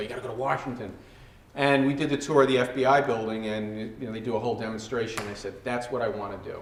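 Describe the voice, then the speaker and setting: Amid noticeable background noise and audible room echo, a man of medium pitch talks at a very fast pace. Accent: New York. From New York City, Queens. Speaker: former FBI hostage negotiator. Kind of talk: talk to students. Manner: animated; halting.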